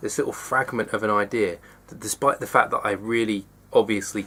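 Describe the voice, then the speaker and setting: The speaker is a man. He has an English accent. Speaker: vlogger. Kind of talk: personal confessional vlog. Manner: fast; halting.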